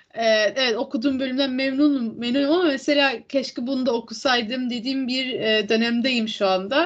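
Over noticeable background noise, a woman with a high pitch speaks at a moderate pace with ordinary pitch variation and hardly any pauses. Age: 20s. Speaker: podcast co-host. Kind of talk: casual chat.

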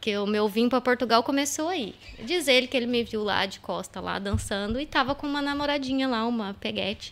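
Speaking fairly quickly with hardly any pauses, a woman uses a high pitch and ordinary pitch variation. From Brazil, São Paulo state (São José dos Campos). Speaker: entrepreneur. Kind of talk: casual chat. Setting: live-streamed podcast studio.

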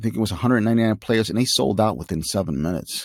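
In an American accent, a man speaks with a fairly low pitch, vocal fry and lively intonation on a very clean recording with a silent background. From Chicago. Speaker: gaming podcaster. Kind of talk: solo podcast monologue. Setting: studio. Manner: casual, animated.

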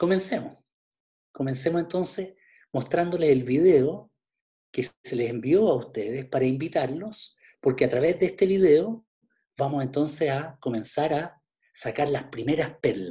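Fairly high-pitched male voice, somewhat breathy, with a dark, mellow tone and a fairly slow pace. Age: 50s. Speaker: pastor. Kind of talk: online Bible class.

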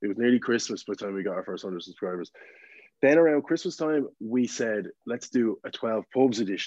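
A man with an Irish accent, medium pitch, lively intonation and a fairly quick pace, recorded dry and close with no echo. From Ireland, County Meath. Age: 20s. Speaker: TikTok content creator. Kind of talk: casual chat.

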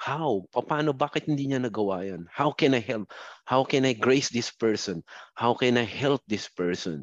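Against a quiet background, a man with an unremarkable speaking voice talks at a medium pitch and moderate pace with lively intonation, the sound dry and close with no echo. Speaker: software support supervisor, overseas worker. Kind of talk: remote interview testimony.

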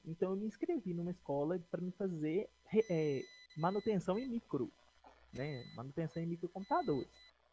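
A man's high-pitched voice with a dark, mellow tone and lively intonation, at a moderate pace, in a dry, close sound with no echo. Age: 30s. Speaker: podcast co-host, production company partner. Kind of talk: casual chat. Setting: live stream, improvised outside studio.

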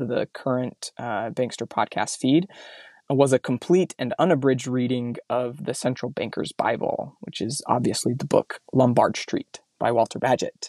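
Heard on a very clean recording with a silent background and a dry, close sound with no echo, a man with an American accent and a plain, everyday voice talks at a fairly slow pace with medium pitch. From Mountain West US (southern Utah, eastern Idaho). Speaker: podcast host. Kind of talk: solo podcast monologue; casual interview chat.

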